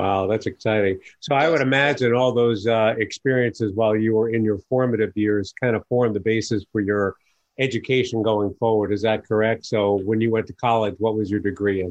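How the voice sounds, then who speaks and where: In an American accent, a man with an ordinary speaking voice talks at a fairly quick pace, his pitch fairly low, his intonation fairly even and his loudness very even. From New York. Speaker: podcast host, business advisor. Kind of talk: interview.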